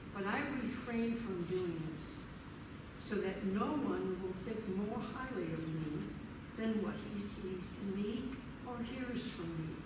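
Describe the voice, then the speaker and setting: With audible room echo and noticeable background noise, a woman speaks at a very slow pace with long, frequent pauses and ordinary pitch variation. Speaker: scripture reader. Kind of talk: scripture reading. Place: church.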